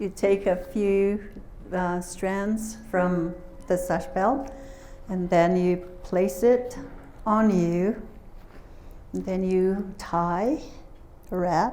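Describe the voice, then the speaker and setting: Speaking very slowly with long, frequent pauses, a woman with a Southwestern US accent keeps her intonation fairly even. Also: medium pitch for a woman. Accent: Navajo-accented English. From Navajo Nation, southwestern US. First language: Navajo. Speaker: traditional storyteller and translator. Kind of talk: public lecture presentation. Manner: casual, hesitant.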